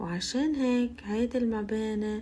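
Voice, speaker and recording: Noticeable background noise sits under a woman speaking very slowly with a Lebanese accent. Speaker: Arabic language teacher. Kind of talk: language-learning listening practice, walking tour narration. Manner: slow, clear.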